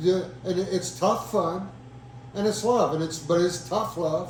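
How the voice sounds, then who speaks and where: Fairly slow speech with ordinary pitch variation, audible room echo, and noticeable background noise. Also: man. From Indiana, Madison County. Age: 70s. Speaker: land conservancy founder. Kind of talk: interview. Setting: at a kitchen table. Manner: halting, many repetitions.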